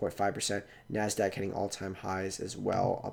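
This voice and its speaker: In a monotone, flat intonation, a man talks at a fairly low pitch. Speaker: investing youtuber. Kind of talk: casual investing commentary. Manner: fast; filler-heavy, hesitant.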